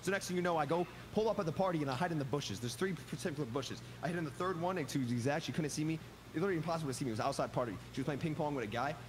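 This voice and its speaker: A man talks at a very fast pace with lively intonation over noticeable background noise. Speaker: online gamer. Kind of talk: casual chat. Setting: video call. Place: home room.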